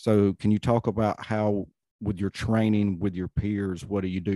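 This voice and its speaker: An unremarkable speaking voice from a man with an American accent, fairly low-pitched with ordinary pitch variation, at a moderate pace, in a dry, close sound with no echo. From US South, North Carolina. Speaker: podcast host, retired law enforcement.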